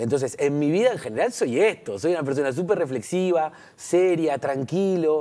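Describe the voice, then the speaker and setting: Against a quiet background, a man speaks in a fairly high, dark, mellow voice. His pitch swings very widely. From Uruguay, Montevideo. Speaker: comedian. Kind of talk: TV interview. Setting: TV studio. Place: studio. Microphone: lapel.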